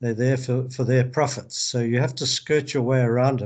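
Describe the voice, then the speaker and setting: Over a quiet background, a man speaks in a somewhat breathy, flat monotone. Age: 70s. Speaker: urological surgeon. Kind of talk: interview. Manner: halting, many repetitions.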